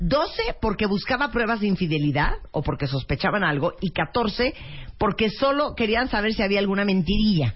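A woman speaks with very wide pitch swings and a somewhat breathy quality. Her loudness stays very even. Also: medium pitch for a woman, moderate pace. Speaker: radio host. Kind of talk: casual chat.

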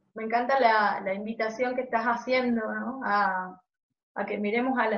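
Speaking at a fairly slow pace, a woman uses a fairly high pitch and a monotone, flat intonation. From Argentina, Jujuy. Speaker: podcast co-host. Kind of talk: casual interview chat.

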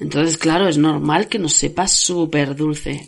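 A woman with vocal fry speaks at a moderate pace. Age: 40s. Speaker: podcast host and author. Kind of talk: casual monologue.

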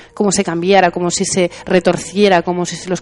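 A woman speaks over noticeable background noise. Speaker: podcast host. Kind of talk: casual chat. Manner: hesitant.

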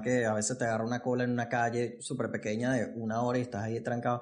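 A man talks at a very fast pace. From Venezuela. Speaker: podcast host. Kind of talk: casual interview. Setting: studio set.

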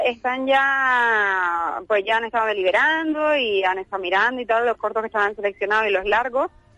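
At a moderate pace, a woman with a fairly high pitch speaks in a bright, sharp tone with lively intonation, in a dry, close sound with no echo. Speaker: film festival director. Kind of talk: radio interview. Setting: phone call.

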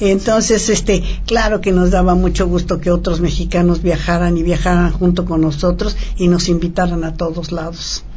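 With noticeable background noise and audible room echo around her, a woman talks at a moderate pace. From Mexico. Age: 80s+. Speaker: former professional tennis player. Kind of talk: interview. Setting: studio.

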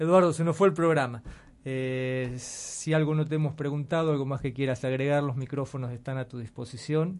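A man speaks with a Rioplatense accent. His pace is fairly quick and his intonation fairly even. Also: fairly high pitch for a man. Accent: Argentine Rioplatense Spanish. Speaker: radio host. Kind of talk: scripted announcement; radio interview. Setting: radio studio.

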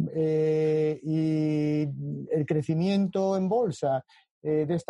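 A man with a fairly high pitch and a dark, mellow tone, dry and close with no echo. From Spain, Galicia (A Coruña). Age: 50s. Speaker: economics professor. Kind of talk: interview conversation.

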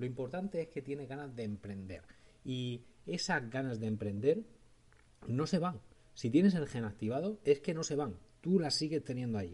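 A man with a medium-pitched, somewhat breathy voice speaks at a moderate pace, his pitch swinging very widely. Long pauses come often. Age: 40s. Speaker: podcast host. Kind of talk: solo podcast monologue.

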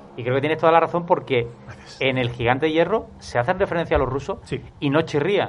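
Speaking at a fairly quick pace, a man uses a normal speaking voice with a fairly high pitch and ordinary pitch variation. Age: 30s. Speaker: film podcast panelist. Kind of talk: casual chat.

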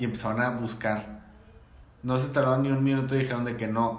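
A man speaks at a medium pitch with fairly even intonation. The room echo is audible. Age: 20s. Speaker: podcast host. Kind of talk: casual chat.

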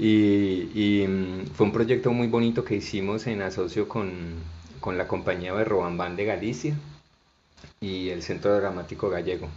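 In a room with audible echo, a man speaks at a fairly slow pace with a fairly low pitch and ordinary pitch variation. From Colombia, Barranquilla and Bucaramanga. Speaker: storyteller and cultural manager. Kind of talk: interview conversation.

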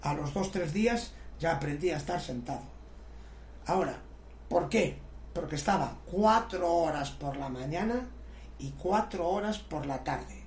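A man speaks at a fairly slow pace, leaving long, frequent pauses. Audible room echo and noticeable background noise surround him. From Galicia, Spain. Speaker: martial arts master. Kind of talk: casual chat.

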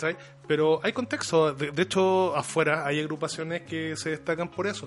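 The pace is moderate. It is a plain, everyday voice. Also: man, fairly high pitch for a man, fairly even intonation. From Chile, Conchalí (Santiago). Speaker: professional wrestler. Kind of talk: casual chat.

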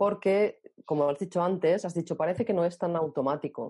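A woman's dark, mellow tone, fairly low in pitch, at a fairly slow pace. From Spain, Barcelona. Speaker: author. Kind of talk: interview.

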